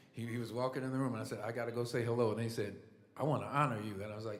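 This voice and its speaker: Very fast yet with long, frequent pauses, a man with an American accent talks at medium pitch and fairly even intonation, with audible room echo. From Indiana. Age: 60s. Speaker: musician. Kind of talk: acceptance speech. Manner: halting.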